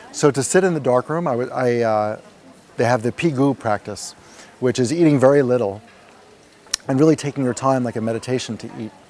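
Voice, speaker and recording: The speaker has a New York accent and a fairly quick pace. Long, frequent pauses break up speech with ordinary pitch variation. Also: man, medium pitch for a man. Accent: New York American. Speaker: retreat participant. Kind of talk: testimony. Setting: interview at a retreat center. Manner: fast.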